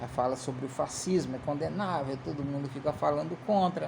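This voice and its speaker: This is a man speaking. His pace is moderate. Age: 50s. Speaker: political commentator. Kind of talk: casual political commentary monologue. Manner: halting, many repeated fillers.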